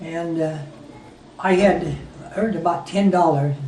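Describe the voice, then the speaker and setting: Audible room echo around a man's voice of ordinary pitch variation. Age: 80s+. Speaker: war veteran. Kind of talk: storytelling. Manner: halting.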